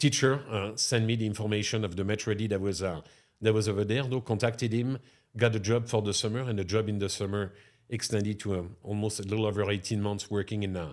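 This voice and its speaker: At a very fast pace, a man with a fairly low pitch speaks with fairly even intonation. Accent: French. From France, near Chartres. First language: French. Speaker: restaurateur. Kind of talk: podcast interview.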